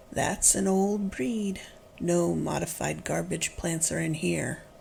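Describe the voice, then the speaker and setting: A female-sounding, put-on character voice moves at a fairly slow pace over clear background noise. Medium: read story. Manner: prim, slightly indignant.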